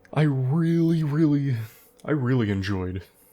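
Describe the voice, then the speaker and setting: A man with lively intonation, music in the background. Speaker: gaming YouTuber. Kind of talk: unscripted gameplay commentary. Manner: pauses often.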